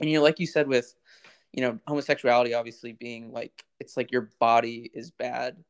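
In an unremarkable speaking voice, a man talks at a fairly quick pace and medium pitch, with fairly even intonation and big swings in loudness. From US South. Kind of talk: casual chat.

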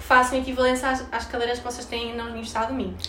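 A woman with a high-pitched voice speaks in an animated tone over noticeable background noise, with audible room echo. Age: 20s. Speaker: university student. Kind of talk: casual chat.

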